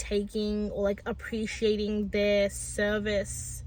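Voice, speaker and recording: The speaker is a woman with a medium pitch. She sounds somewhat breathy. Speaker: vlogger. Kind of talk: personal vlog talk. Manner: halting, with repetitions and fillers.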